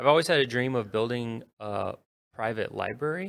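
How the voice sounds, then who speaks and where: A man with an unremarkable speaking voice talks at a fairly slow pace. His medium pitch shows ordinary pitch variation. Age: 30s. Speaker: city council candidate. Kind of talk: radio interview.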